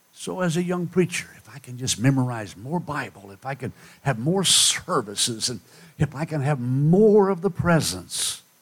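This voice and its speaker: A man talks at a moderate pace in a fairly high pitch, his tone animated. His pitch swings very widely, and his loudness rises and falls in big swings. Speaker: preacher. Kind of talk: sermon in full flow, revival-style preaching with dramatic alliterative rhetoric. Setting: church with live congregation. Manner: animated, fervent, rhetorical call-and-response, rising and falling for effect; dramatic, rhythmic, poetic delivery with hushed intensity.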